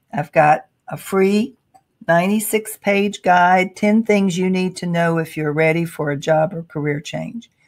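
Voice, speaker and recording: Fairly slow and fairly low-pitched, a woman talks with an unremarkable speaking voice and ordinary pitch variation. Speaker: career coach. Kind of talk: webinar presentation. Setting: online webinar.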